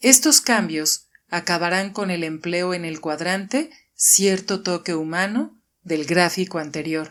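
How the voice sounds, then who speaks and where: A plain, everyday voice, fairly slow, with ordinary pitch variation, captured on a very clean recording against a silent background. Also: woman, fairly low pitch for a woman. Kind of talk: audiobook reading.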